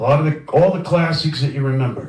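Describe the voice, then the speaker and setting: Noticeable background noise and audible room echo surround a man with a New York accent and a fairly high pitch. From Brooklyn, New York. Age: 50s. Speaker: record label owner. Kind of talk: guest lecture. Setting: lecture room with audience. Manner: casual, conversational.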